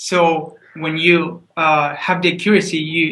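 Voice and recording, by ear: The room echo is audible around a man with a fairly high pitch. His tone is bright and sharp, with little pitch movement.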